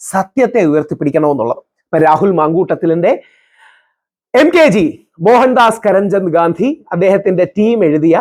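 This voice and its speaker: Lively intonation runs through speech of very even loudness. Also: man, high pitch for a man. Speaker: political commentator. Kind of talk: reading aloud with commentary.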